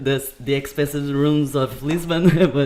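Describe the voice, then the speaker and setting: The speaker has a Portuguese accent. The pace is very slow. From Brazil, raised partly in Portugal. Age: 20s. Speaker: podcast guest. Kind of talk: casual chat. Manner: halting.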